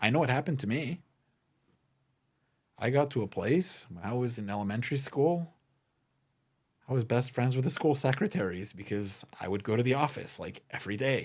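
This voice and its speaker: A man of medium pitch speaks with lively intonation at a fairly quick pace, taking long, frequent pauses, on a very clean recording with a silent background. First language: not English. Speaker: podcast host and memorabilia business owner. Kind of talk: solo podcast monologue.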